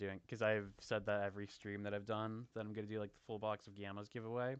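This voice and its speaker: A man is talking. His pace is very fast. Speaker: gaming streamer. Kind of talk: live stream commentary. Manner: casual, filler-heavy.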